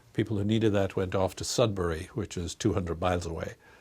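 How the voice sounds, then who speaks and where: On a very clean recording with a silent background, a man with an Irish accent speaks with fairly even intonation. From Ireland, Dublin. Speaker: research institute director, psychologist. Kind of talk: interview.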